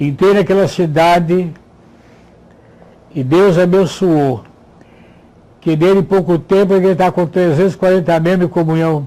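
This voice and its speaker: Very even loudness and fairly even intonation, broken by long, frequent pauses. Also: man, high pitch for a man, moderate pace. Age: 80s+. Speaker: retired pastor. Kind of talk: testimony.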